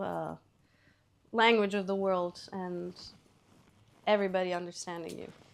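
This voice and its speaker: A woman with a Serbian accent speaks at a moderate pace in a monotone, flat intonation. Her speech has long, frequent pauses. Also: medium pitch for a woman. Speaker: singer-songwriter. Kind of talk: interview.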